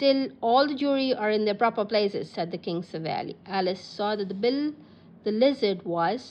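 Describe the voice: What we hear is plain reading aloud.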